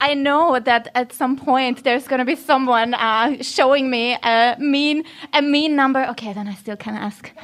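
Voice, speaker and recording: Talking at a moderate pace, a woman uses a high pitch with ordinary pitch variation. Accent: Austrian. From Austria. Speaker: podcast host. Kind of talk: live panel talk. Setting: stage with audience. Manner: animated, chatty.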